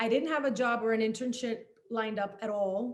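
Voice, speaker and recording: A woman speaks at a fairly high pitch with a Spanish accent. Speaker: journalist and author. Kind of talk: panel talk.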